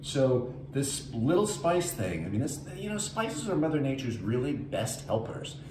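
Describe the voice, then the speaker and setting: A man's lively intonation at a moderate pace, with noticeable background noise. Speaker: home cook host. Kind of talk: cooking tutorial chat. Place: kitchen. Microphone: camera far.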